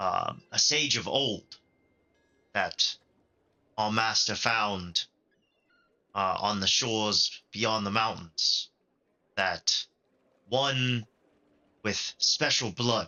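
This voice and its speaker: In a put-on character voice, a man speaks raspily at a very slow pace, with long, frequent pauses. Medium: actual play. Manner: earnest, fervent.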